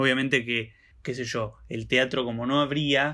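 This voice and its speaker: In a Rioplatense accent, a man speaks at medium pitch with ordinary pitch variation. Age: 20s. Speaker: podcast co-host. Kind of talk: casual chat.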